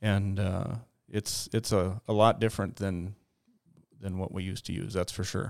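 A man with an American accent speaks at a moderate pace in a fairly low, flat monotone. He leaves long, frequent pauses, and the recording is very clean with a silent background. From Minnesota, Detroit Lakes. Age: 40s. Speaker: aerial applicator pilot. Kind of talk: casual interview. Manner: halting, many fillers and repeats.

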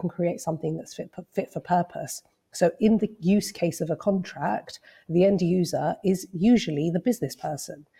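A woman's fairly low voice has a dark, mellow tone, sounds somewhat breathy, and shows ordinary pitch variation. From Cyprus. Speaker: lawyer and legal tech founder. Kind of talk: interview.

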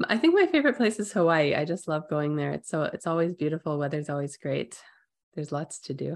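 A woman speaks at a very fast pace against a quiet background. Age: 40s. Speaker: engineering professor. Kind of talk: interview. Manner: casual, filler-heavy.

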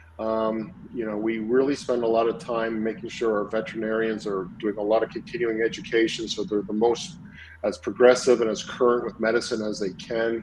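A man's plain, everyday voice with a Canadian accent, medium pitch, ordinary pitch variation and a fairly quick pace. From Montreal, Canada. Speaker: equine veterinarian. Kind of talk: interview.

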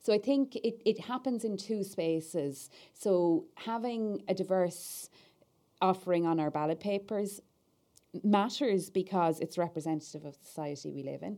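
On a very clean recording with a silent background, a woman speaks in a dark, mellow tone. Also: medium pitch for a woman, ordinary pitch variation, moderate pace. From Ireland. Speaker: political party staff officer. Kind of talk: podcast interview.

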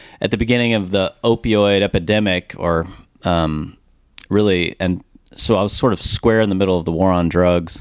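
In a very clean recording with a silent background, a man with an American accent speaks at a moderate pace in a very deep, low pitch with fairly even intonation. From Dallas, Texas. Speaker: brand marketing founder. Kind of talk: interview. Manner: casual.

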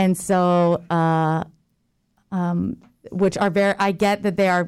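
A woman with an American accent speaks at a fairly slow pace in a normal speaking voice, medium in pitch, on a very clean recording with a silent background. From Jacksonville, Florida. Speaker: theater manager and lecturer. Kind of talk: casual interview. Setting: radio studio.

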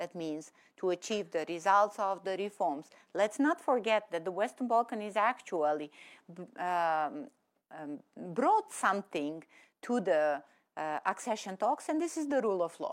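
Speaking in a Serbian accent, a woman with a medium pitch makes very wide pitch swings at a moderate pace. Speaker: government minister. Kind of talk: panel discussion. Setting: studio with audience.

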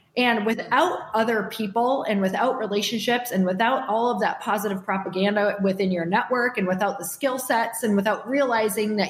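A woman talks at a moderate pace and medium pitch, her pitch varying in an ordinary way, with noticeable background noise around her. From US Midwest, Upper Michigan. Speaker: entrepreneur and podcast host. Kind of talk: casual interview.

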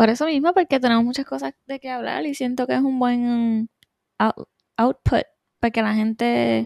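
Recorded with a dry, close sound and no echo, a woman speaks at a high pitch and moderate pace with ordinary pitch variation. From Puerto Rico (Adjuntas). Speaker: podcast co-host, aesthetician. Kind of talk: casual chat.

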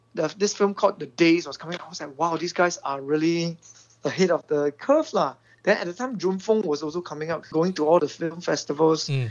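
Someone speaks with a Singaporean accent. The pace is fairly quick. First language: Mandarin Chinese. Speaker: film director. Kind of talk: interview. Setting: phone call.

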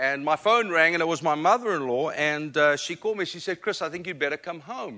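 A man with a South African accent speaks at a moderate pace in a high pitch, with a bright, sharp tone and ordinary pitch variation. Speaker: guest preacher. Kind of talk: sermon. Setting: church.

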